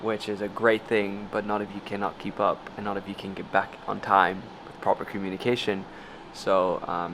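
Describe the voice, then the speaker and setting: Flat, monotone speech from a man with a fairly low voice, over noticeable background noise. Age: 20s. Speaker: YouTuber and entrepreneur. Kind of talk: casual vlog chat. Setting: home after returning to Bali.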